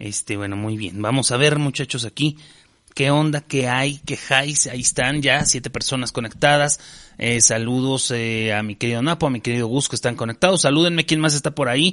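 A man speaks with a Mexican accent in a bright, sharp tone. His pitch is medium, his pace moderate, and his pitch variation ordinary. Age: 40s. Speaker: podcast host and stand-up comedian. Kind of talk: casual chat.

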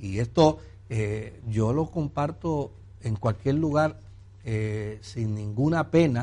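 A man speaks in a medium-pitched, somewhat breathy voice with a dark, mellow tone. His pitch varies in an ordinary way. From Puerto Rico. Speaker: pastor and broadcast host. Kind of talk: religious Q&A call-in program.

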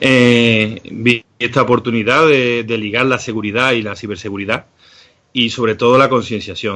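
Fairly even intonation from a man with a bright, sharp tone. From Seville, Andalusia. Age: 40s. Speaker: cybersecurity educator. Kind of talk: interview.

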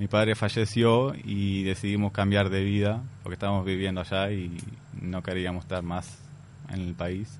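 A moderate tempo with fairly level intonation. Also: man, fairly low pitch for a man. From Palestine. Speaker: immigrant guest. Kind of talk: interview.

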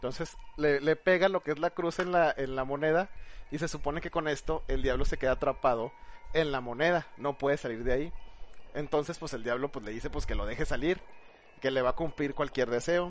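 Using a normal speaking voice, a man talks at a fairly quick pace with a fairly high pitch and ordinary pitch variation. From northern Mexico. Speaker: podcast co-host. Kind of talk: storytelling; casual group chat.

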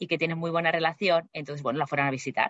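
A woman with a fairly low pitch. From Spain, Barcelona. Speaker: flight attendant. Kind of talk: interview.

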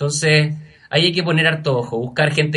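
A man's bright, sharp tone comes through with audible room echo. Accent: Chilean. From Chile, Araucanía region. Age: 30s. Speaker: scholarship recipient, master's graduate. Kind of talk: interview.

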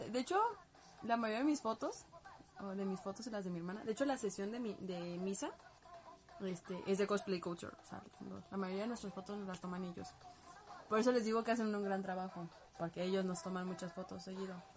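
Noticeable background noise sits behind a woman talking at a fairly quick pace with long, frequent pauses. Her pitch is medium and varies in an ordinary way. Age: 20s. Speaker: cosplayer and livestream host. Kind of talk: casual livestream chat answering viewer comments. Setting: home bedroom livestream.

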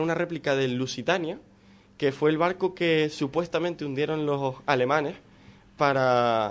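At a fairly slow pace, a man with an ordinary speaking voice talks at a fairly high pitch with ordinary pitch variation. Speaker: film segment contributor. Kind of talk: radio segment. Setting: studio.

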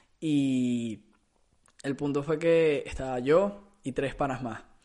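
A man speaks with a Venezuelan accent. His pitch sits fairly high and varies in an ordinary way. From Venezuela (Caracas). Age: 20s. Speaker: podcast host. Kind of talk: casual monologue. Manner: halting, with repetitions.

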